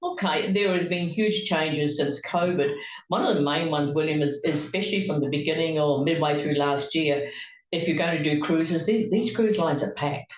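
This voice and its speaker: Audible room echo surrounds a woman with a very deep, low pitch who talks at a fairly quick pace, with very even loudness and ordinary pitch variation. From New Zealand. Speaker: travel agent. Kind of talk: interview. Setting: in the same room as the host.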